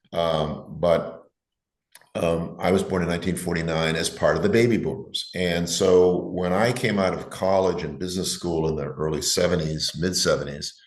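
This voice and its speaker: Audible room echo surrounds a man whose very deep, low voice moves at a moderate pace with fairly even intonation. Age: 70s. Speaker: investment advisor. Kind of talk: interview. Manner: halting.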